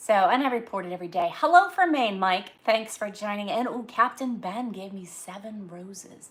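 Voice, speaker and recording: In a Northeastern US accent, a woman speaks at a moderate pace with ordinary pitch variation. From Massachusetts, US Northeast. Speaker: livestreamer. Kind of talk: casual live chat. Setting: live stream at home.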